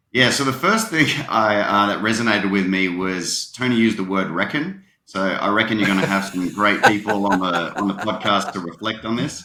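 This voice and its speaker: A man talks at a fairly quick clip. He has an Australian accent. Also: fairly low pitch for a man, ordinary pitch variation. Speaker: tech company partnership leader. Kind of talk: podcast interview.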